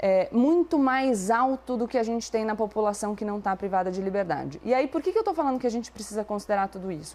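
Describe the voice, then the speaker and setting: Lively intonation marks a woman's fairly high-pitched voice with a dark, mellow tone. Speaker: debate commentator. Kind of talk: debate. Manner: fast.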